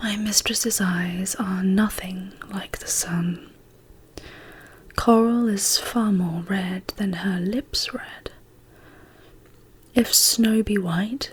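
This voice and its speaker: A woman at a medium pitch speaks at a very slow pace with fairly even intonation and long, frequent pauses over noticeable background noise. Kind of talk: poetry reading. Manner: whispered, soft-spoken.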